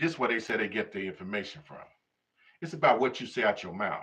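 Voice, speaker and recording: Here a man talks. His intonation is lively. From Chicago, US. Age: 60s. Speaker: YouTube commentator. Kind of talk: live stream monologue. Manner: animated.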